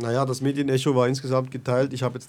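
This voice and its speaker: This man's medium-pitched voice comes through on a very clean recording with a silent background. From Switzerland, Bern. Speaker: activist. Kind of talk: interview. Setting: studio.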